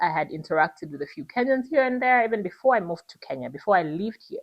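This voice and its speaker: With a Ugandan accent, a woman speaks in a fairly high pitch with vocal fry, an animated tone, and very wide pitch swings. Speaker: content creator. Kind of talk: casual vlog monologue.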